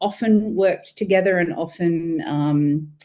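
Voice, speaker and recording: This woman speaks with an Australian accent at a fairly slow pace. Her voice is fairly low, with ordinary pitch variation. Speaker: freelance business consultant. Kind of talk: self-introduction in online seminar.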